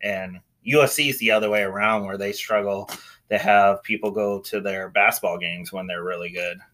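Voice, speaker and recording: Here is a man with a plain, everyday voice and a fairly low pitch. He keeps a moderate pace and fairly even intonation. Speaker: college football podcast host. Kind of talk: casual sports talk recap and analysis.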